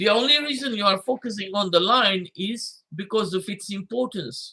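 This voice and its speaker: The voice is raised and projected, moving at a moderate pace with ordinary pitch variation. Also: man, high pitch for a man. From Fiji. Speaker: imam and Islamic scholar. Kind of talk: livestreamed religious lecture.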